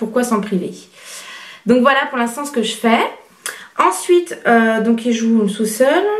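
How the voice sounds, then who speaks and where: A woman speaks at a fairly slow pace with a fairly high pitch, and there is audible echo in the room. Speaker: parenting blogger. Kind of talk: vlog advice talk. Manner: soft-spoken; hesitant, many fillers.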